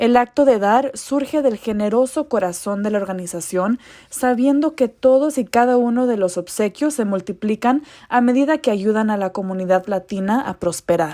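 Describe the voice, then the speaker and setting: On a very clean recording with a silent background, a dark, mellow voice goes at a moderate pace with ordinary pitch variation. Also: woman, fairly high pitch for a woman. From Colorado, US. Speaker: journalist, event host. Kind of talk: scripted event welcome.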